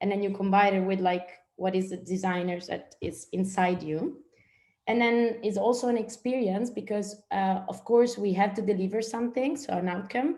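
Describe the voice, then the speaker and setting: With an Italian accent, a woman speaks at a moderate pace in a dark, mellow tone. Her pitch varies in an ordinary way. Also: medium pitch for a woman. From northern Italy, small village. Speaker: strategic and service designer. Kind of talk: guest presentation in online training session. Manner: hesitant, many fillers.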